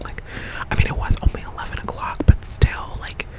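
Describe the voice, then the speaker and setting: A whisper over noticeable background noise. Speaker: ASMR creator. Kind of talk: casual ASMR ramble. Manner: whispered.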